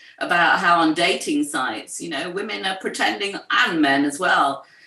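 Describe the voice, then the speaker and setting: Her pitch swings very widely around a medium level for a woman. Noticeable background noise runs underneath. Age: 60s. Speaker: writer and poet, co-founder of an ageing community. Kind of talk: interview conversation.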